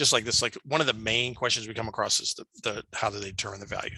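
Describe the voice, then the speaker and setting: A fairly low-pitched man's voice, bright and sharp in tone, at a fairly quick pace. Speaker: mortgage loan officer presenting a training. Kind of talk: online training presentation. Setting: video call. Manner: fast; halting, many fillers.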